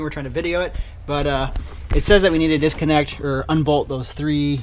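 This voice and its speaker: A man at a very fast pace over light background noise. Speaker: car hobbyist vlogger. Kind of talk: tutorial vlog chat. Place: garage. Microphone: phone near.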